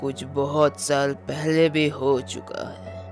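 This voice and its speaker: Over clear music in the background, a man with a medium pitch performs a cartoonish character voice. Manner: slow, grave.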